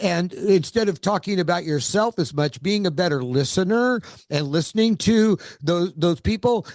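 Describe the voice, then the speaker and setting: Speaking at a moderate pace with an American accent, a man uses a high pitch and lively intonation at very even loudness, with a dry, close sound with no echo and a quiet background. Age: 70s. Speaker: author and entrepreneur. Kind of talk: interview.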